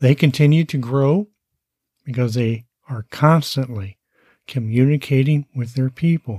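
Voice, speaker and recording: A man of medium pitch speaks fairly slowly with long, frequent pauses, his dark, mellow tone somewhat breathy and his pitch variation ordinary, in a very clean, dry, close recording with no echo and a silent background. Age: 60s. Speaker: podcast host, online marketing coach. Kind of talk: solo monologue podcast.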